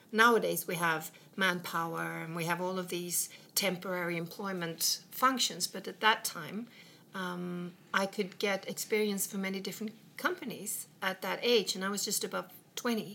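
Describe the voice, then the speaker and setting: Delivered at a moderate pace in a Swedish accent, the speech keeps a fairly even intonation. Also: woman, medium pitch for a woman. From west coast of Sweden. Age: 50s. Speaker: businesswoman. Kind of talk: casual chat. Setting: in a home.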